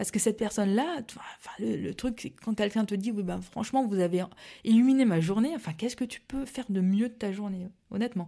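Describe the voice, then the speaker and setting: The woman's fairly high voice shows ordinary pitch variation as she goes at a moderate pace. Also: very clean recording, silent background. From Alsace, France (Mulhouse). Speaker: pastry entrepreneur, former neuroscientist. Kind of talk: casual interview chat. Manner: hesitant, many fillers and repetitions.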